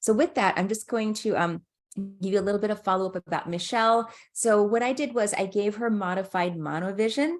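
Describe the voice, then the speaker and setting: A woman's medium-pitched voice at a fairly quick pace, with ordinary pitch variation. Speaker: ophthalmologist presenting a webinar. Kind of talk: webinar presentation. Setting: online webinar. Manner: fast; halting with fillers.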